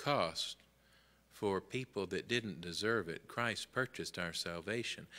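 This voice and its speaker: A bright, sharp tone with ordinary pitch variation and a Southern US accent. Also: man. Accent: Southern American. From US South, Memphis, Tennessee; Tennessee. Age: 60s. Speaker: Sunday school teacher. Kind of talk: Bible lesson. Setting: church classroom. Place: church. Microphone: podium.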